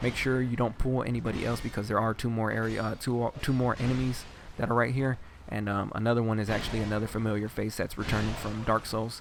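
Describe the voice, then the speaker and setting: With music in the background, a man talks very fast at a medium pitch in a monotone, flat intonation. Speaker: gaming video guide host. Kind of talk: game walkthrough commentary. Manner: casual, hesitant with fillers.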